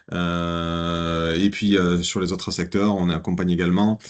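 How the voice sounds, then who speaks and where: A man's very deep, low voice at a fairly slow pace. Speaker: business consultant. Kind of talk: business presentation. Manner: hesitant, many fillers.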